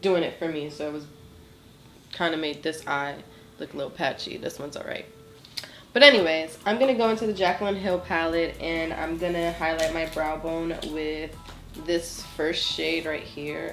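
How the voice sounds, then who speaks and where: A woman's fairly low voice at a moderate pace, fairly even in intonation but with big swings in loudness, plus audible room echo. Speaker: beauty vlogger. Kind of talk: tutorial. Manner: casual.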